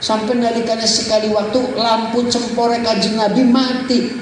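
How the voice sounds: Audible room echo carries a man's extremely high-pitched voice, which moves at a moderate pace with little pitch movement.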